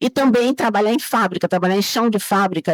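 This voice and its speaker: Her pitch sits at a medium level, and this woman uses ordinary pitch variation. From Bahia, Brazil. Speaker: chemical engineer. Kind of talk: interview.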